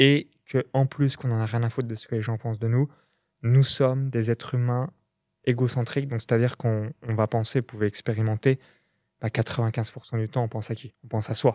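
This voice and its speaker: The recording is very clean, with a silent background and a dry, close sound with no echo. A man talks at a fairly quick pace and medium pitch, his intonation flat and monotone. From Burgundy, France (near Chalon-sur-Saône). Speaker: entrepreneur. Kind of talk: podcast interview.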